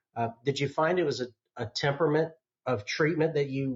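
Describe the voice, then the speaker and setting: A man's somewhat breathy voice with an American accent, a moderate pace and fairly even intonation. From US South, North Georgia. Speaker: podcast host. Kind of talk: interview.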